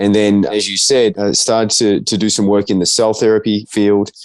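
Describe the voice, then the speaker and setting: Someone speaks at a fairly quick pace with an Australian accent. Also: man. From Australia, Melbourne. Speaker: biotech company CEO. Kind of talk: interview.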